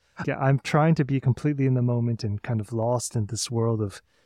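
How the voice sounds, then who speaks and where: With an American accent, a man speaks in a medium pitch with a dark, mellow, somewhat breathy tone and fairly even intonation, recorded very cleanly against a silent background with a dry, close sound with no echo. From US Midwest, St. Louis. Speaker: musician. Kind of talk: interview.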